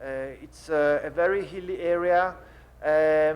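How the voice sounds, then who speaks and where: Speaking at a fairly slow pace with an Italian accent, a man uses a fairly high pitch and fairly even intonation. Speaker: winemaker. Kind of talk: panel seminar. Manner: halting.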